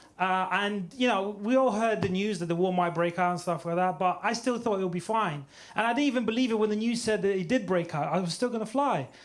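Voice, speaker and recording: A man with a high voice speaks at a very fast pace with hardly any pauses. His pitch varies in an ordinary way, and room echo is audible. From Ukraine. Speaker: stand-up comedian. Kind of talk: stand-up. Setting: stage with audience.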